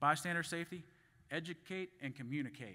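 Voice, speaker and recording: The tone is bright and sharp in a very clean recording with a silent background. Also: man. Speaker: conference speaker on grain fumigation. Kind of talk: conference presentation. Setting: stage at a conference. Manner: fast; halting, with restarts and fillers.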